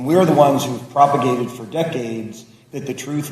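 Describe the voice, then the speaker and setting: A man speaks at a moderate pace with ordinary pitch variation while noticeable background noise carries on. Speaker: lawmaker. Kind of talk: roundtable remarks. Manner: loud.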